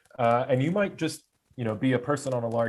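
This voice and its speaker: A man speaks with a medium pitch. His pitch variation is ordinary. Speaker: user group presenter. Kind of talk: technical presentation. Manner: halting with fillers.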